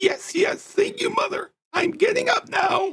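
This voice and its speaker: A man's put-on character voice, raspy and shouting at an extremely high pitch, at a fairly slow pace. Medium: read story. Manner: careful, clearly enunciated, with pauses.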